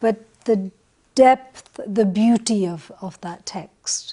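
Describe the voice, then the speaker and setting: A woman with a Punjabi accent has a dark, mellow tone. Her pitch is fairly high and her intonation fairly even. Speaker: panelist. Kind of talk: panel discussion.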